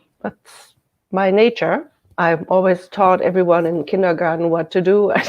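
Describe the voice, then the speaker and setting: A woman speaks with a German accent at a medium pitch. Her pace is moderate and her intonation fairly even. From Germany, countryside. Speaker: shiatsu therapist. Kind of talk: radio interview.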